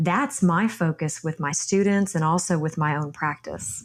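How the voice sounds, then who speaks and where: Someone with a Texan accent speaks with ordinary pitch variation. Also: woman. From Texas. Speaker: yoga instructor. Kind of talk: interview.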